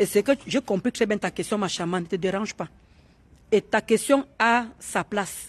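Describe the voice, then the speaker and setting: A woman speaks in an animated tone at medium pitch with ordinary pitch variation and a moderate pace. The sound is dry and close, with no echo. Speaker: live streamer. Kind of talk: casual live chat.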